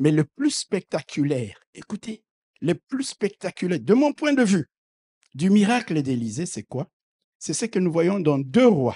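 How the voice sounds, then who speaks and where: Recorded dry and close with no echo, a man speaks fairly slowly in a high pitch with a dark, mellow tone, very wide pitch swings and big swings in loudness. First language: not French (speaking French). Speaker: preacher. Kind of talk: sermon. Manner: animated.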